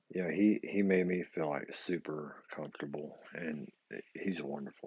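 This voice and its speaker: Intonation stays fairly even while the talk proceeds at a moderate pace. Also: man, very deep, low pitch for a man. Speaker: vlogger sharing denture experience. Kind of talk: casual vlog monologue. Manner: halting, many fillers and repetitions.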